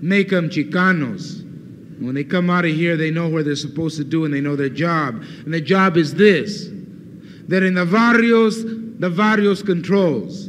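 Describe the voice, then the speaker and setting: Over noticeable background noise, a man with an American accent speaks at a moderate pace in a passionate tone, with high pitch and ordinary pitch variation. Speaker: Chicano movement leader and activist. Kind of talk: political speech to a student audience. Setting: university lecture hall, 1969 recording. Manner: fiery, passionate, persuasive.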